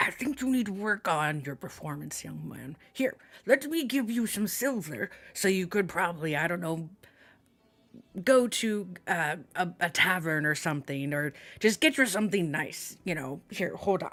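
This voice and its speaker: A man puts on a character voice pitched high. He keeps a moderate pace. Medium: actual play. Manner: boisterous, patronizing, warm.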